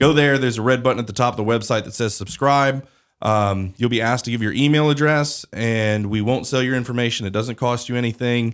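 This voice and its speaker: On a very clean recording with a silent background, a man with an unremarkable speaking voice and medium pitch talks at a fairly quick pace with fairly even intonation. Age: 30s. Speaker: podcast host and news CEO. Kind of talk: interview podcast host; promotional announcement. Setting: studio.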